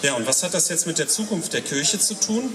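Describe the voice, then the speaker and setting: A man keeps a moderate pace amid audible room echo and noticeable background noise. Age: 50s. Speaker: lay preacher. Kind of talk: sermon. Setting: church service at a town festival.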